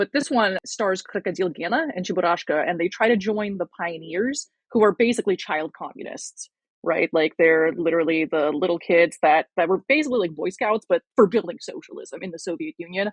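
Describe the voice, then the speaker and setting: A woman with a plain, everyday voice, medium pitch, lively intonation and a fairly quick pace. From Russia, moved to US at seven. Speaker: communist YouTuber and video essayist. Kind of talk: casual podcast interview.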